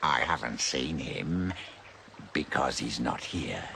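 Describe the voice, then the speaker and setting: Someone performs a put-on character voice at a fairly slow pace over clear background noise. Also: man, very deep, low pitch for a man. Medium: fan dub. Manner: sly, cryptic.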